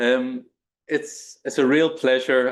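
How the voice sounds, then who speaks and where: A man with an Irish accent speaks at a fairly slow pace and a medium pitch. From Northern Ireland, Belfast. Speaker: professor of global health. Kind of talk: lecture. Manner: halting, many fillers.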